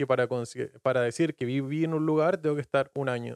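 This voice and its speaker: A man talks at a very fast pace with fairly even intonation and a fairly high pitch. The sound is dry and close, with no echo. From Chile, Patagonia (Puerto Natales). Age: 20s. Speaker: podcast guest. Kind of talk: casual chat.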